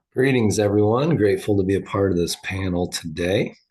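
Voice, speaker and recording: A man's fairly low, somewhat breathy voice at a moderate pace, with ordinary pitch variation over a quiet background. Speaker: psychiatric nurse practitioner. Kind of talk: webinar presentation.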